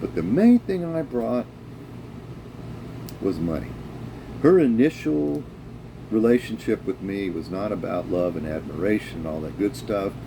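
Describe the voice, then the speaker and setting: A man with a fairly low pitch talks at a moderate pace, his pitch swinging very widely. Long, frequent pauses break up his speech, with noticeable background noise throughout. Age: 60s. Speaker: vlogger talking about his divorce. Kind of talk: personal monologue. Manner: casual, with many fillers.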